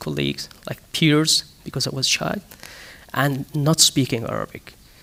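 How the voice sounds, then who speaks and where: A man with a Kurdish accent talks at a fairly slow pace in a fairly high pitch. The sound is dry and close with no echo, and there is noticeable background noise. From Syria, Damascus (Kurdish). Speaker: human-rights activist. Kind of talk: panel discussion. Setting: stage with audience. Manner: halting, many fillers and restarts.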